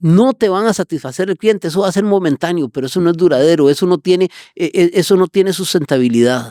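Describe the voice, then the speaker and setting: Talking at a very fast pace, a man with a high pitch and a dark, mellow tone uses lively intonation, recorded with a dry, close sound and no echo. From Costa Rica, San José south barrios. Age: 60s. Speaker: business owner. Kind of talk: interview. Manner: energetic.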